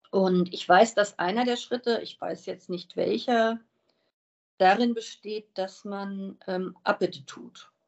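A woman speaks very slowly with fairly even intonation. Her loudness swings widely. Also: medium pitch for a woman. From Wiesbaden, Hesse, Germany. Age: 50s. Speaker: recovering alcoholic sharing her story. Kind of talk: interview.

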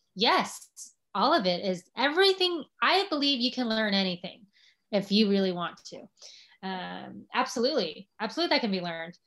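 Her fairly high voice swings very widely in pitch as a woman speaks in a very clean recording with a silent background. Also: moderate pace. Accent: American. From US, Los Angeles. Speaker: social media marketer. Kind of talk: casual interview conversation.

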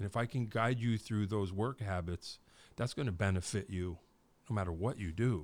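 A man talks in an ordinary speaking voice at a fairly low pitch. The recording is very clean, with a silent background. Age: 50s. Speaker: podcast host. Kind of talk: casual interview. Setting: podcast studio.

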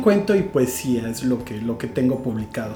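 A man talks at a fairly quick pace with very wide pitch swings. Music plays in the background. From Mexico, rural Guerrero (Iguala). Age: 30s. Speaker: writer. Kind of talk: casual chat.

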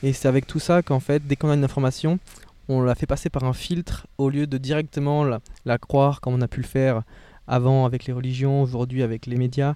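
A man's flat, monotone voice at medium pitch, fairly quick, with a dry, close sound and no echo. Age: 20s. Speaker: podcast host. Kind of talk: casual interview. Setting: parked car, windows open.

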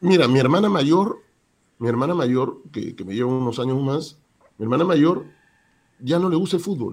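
A man with a fairly high pitch talks in an animated tone with lively intonation at a moderate pace, pausing long and often. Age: 50s. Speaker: sports journalist and radio announcer. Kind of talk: casual interview. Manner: animated, repetitive.

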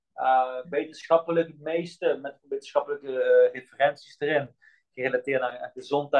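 At a moderate pace, a man with a fairly high pitch talks in a monotone, flat intonation. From Netherlands, Limburg (Melick), born in Bosnia. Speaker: health scientist and movement coach. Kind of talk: podcast interview. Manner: halting, searching for words.

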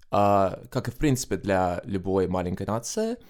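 A man on a very clean recording over a silent background. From Estonia, Tallinn. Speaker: Eurovision fan guest. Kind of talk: podcast interview.

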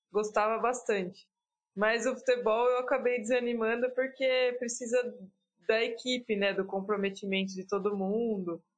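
This woman has a plain, everyday voice with a fairly high pitch. She keeps a moderate pace and fairly even intonation. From São Paulo state, Brazil (Piracicaba). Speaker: professional triathlete. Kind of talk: casual interview.

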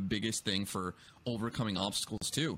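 A man at a medium pitch in a normal speaking voice, with fairly even intonation and a fairly quick pace, in a very clean recording with a silent background. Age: 20s. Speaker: podcast host. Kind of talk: casual chat.

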